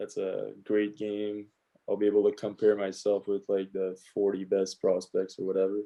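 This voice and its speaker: Speaking at a moderate pace in a Quebec accent, the voice stays monotone with flat intonation. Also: man, fairly low pitch for a man. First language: French. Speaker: professional hockey player. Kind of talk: casual interview chat. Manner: halting, with fillers and repeats.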